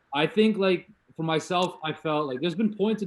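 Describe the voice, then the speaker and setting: Lively intonation runs through this man's speech. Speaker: podcast host. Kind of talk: casual interview chat. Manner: fast.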